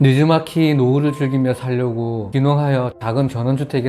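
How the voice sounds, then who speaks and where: A man speaks at a medium pitch with fairly even intonation and hardly any pauses. Noticeable background noise runs underneath. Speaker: story narrator. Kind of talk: story reading.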